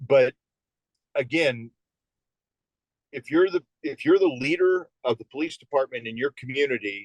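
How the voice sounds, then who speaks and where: A man with an American accent at a fairly high pitch and moderate pace, ordinary pitch variation, long, frequent pauses, and a dry, close sound with no echo. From Phoenix, Arizona. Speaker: police veteran and sheriff candidate. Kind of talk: interview answer.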